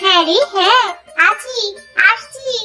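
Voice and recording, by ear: A woman puts on a squeaky cartoonish character voice at an extremely high pitch with lively intonation. Music plays in the background.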